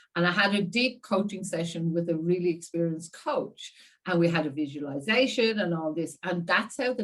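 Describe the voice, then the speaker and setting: A woman at a fairly low pitch, moderate pace and hardly any pauses. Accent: Irish. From Ireland, seaside town. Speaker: communication coach. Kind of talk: interview.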